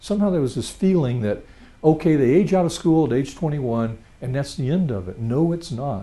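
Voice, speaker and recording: Audible room echo surrounds a man whose fairly high, dark and mellow voice moves at a moderate pace with lively intonation. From Louisiana. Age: 60s. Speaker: retired financial planner, presenter. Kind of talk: lecture.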